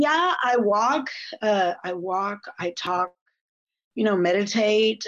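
The delivery is very slow with lively intonation. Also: woman. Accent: American. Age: 50s. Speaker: addiction recovery counselor. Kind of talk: personal testimony in interview.

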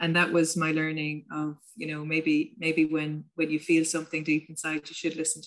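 A woman with a Munster Irish accent speaks in a very deep, low voice at a moderate pace, her intonation monotone and flat, with hardly any pauses. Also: big swings in loudness. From Ireland, County Limerick. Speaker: tourism business founder and coach. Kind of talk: casual interview chat.

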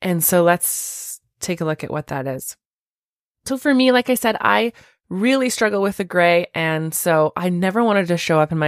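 A woman with a plain, everyday voice at a moderate pace with lively intonation, on a very clean recording with a silent background and a dry, close sound with no echo. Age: 30s. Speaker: podcast host and teacher. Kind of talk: casual solo podcast talk.

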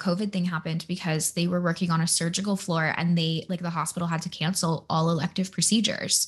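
A woman's fairly low, somewhat breathy voice carries fairly even intonation. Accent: American. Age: 20s. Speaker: podcast host and human design coach. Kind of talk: casual chat.

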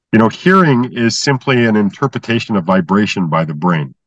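Fairly quick speech from a man with very wide pitch swings, in a dry, close sound with no echo. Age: 60s. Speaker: inventor of brainwave entrainment method. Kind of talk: interview.

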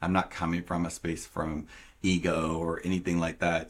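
Heard on a very clean recording with a silent background, a man with an American accent speaks in a very deep, low pitch. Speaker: podcast host. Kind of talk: casual interview chat. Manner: animated, enthusiastic.

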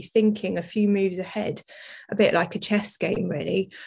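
A woman talks at a fairly quick pace with an English accent. Her voice is somewhat breathy. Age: 40s. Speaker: business owner and athlete. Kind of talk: interview.

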